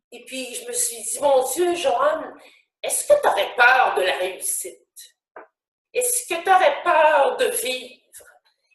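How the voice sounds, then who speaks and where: Speaking at a very slow pace, a woman with a high pitch swings very widely in tone, and the room echo is audible. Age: 60s. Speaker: actress and motivational speaker. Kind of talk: live webinar talk. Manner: spontaneous, hesitant with many fillers.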